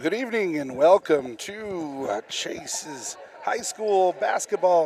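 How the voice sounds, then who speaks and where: The man talks at a fairly slow pace with a high pitch and lively intonation. Noticeable background noise runs underneath. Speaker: high school sports announcer. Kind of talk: live commentary.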